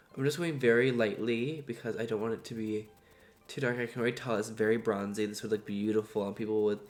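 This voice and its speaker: Over music in the background, a man talks fairly quickly at a medium pitch. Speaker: beauty youtuber. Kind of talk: makeup tutorial review. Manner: animated.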